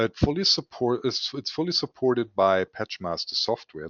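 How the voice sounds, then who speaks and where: A man speaks with a German accent. His pitch swings very widely. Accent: German accent, somewhat weird. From Germany. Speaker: scientific equipment sales executive. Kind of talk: webinar presentation. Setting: online webinar.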